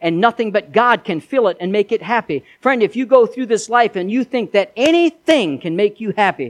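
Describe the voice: The speaker does plain reading aloud, and the intonation is lively.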